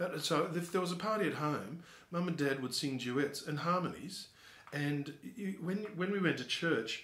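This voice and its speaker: A man talks with ordinary pitch variation, and audible room echo lingers around him. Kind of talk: interview answer. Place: office. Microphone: camera far.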